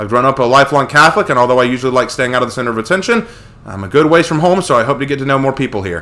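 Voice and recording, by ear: Natural-voiced reading aloud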